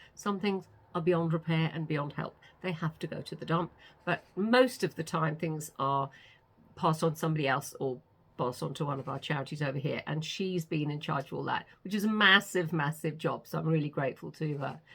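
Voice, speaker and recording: Speaking with a British accent, a woman uses a very deep, low voice and ordinary pitch variation at a fairly quick pace. The recording is very clean, with a silent background. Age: 60s. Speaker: author vlogger. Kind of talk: casual vlog chat. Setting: home studio.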